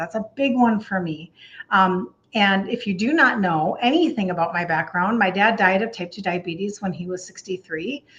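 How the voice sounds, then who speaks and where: A woman with a Minnesotan accent, medium-pitched, lively in intonation, at a moderate pace. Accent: Minnesota. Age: 60s. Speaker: health coach. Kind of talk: live stream talk. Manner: casual chatty.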